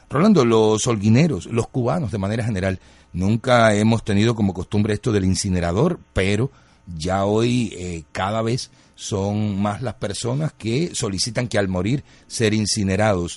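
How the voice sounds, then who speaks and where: Music plays in the background as a man with a fairly low pitch speaks at a moderate pace, his pitch varying in an ordinary way. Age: 50s. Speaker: radio host. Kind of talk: radio interview.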